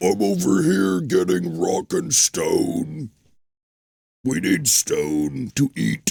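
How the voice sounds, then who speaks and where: Putting on a character voice, a man speaks at a very slow pace and a fairly low pitch. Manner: gruff, satirical.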